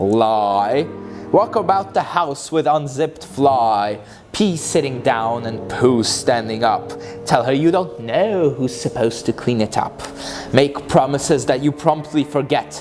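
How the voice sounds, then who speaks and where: Music plays in the background. The speaker goes at a fairly slow pace with lively intonation. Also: man. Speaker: author reading own book. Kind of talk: dramatic reading of humorous rhyming book.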